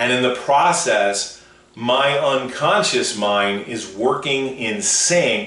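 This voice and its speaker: A man speaks with lively intonation. Audible room echo and noticeable background noise fill the recording. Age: 60s. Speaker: motivational speaker. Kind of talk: radio show monologue.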